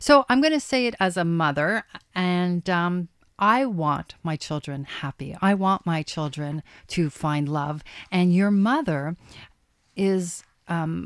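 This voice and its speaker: On a very clean recording with a silent background and a dry, close sound with no echo, a woman speaks at a fairly low pitch with lively intonation. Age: 50s. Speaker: radio host and love coach. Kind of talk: radio talk show.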